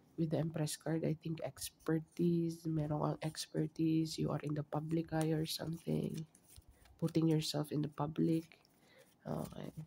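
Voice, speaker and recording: Soft-spoken, a man with a dark, mellow tone speaks at a fairly slow pace and fairly high pitch with monotone, flat intonation. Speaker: tarot reader. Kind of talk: tarot reading.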